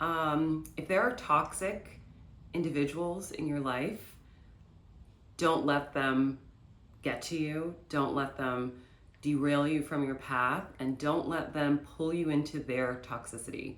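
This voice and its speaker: A woman speaks at a very slow pace in a very deep, low pitch with ordinary pitch variation. Audible room echo surrounds her. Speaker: lifestyle vlogger. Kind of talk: casual vlog talk to camera.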